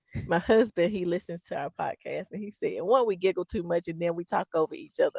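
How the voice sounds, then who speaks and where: The tone is animated, with big swings in loudness and hardly any pauses at a fairly quick pace. The sound is dry and close with no echo. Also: woman. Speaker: podcast co-host. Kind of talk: casual chat. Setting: in a car. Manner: giggly.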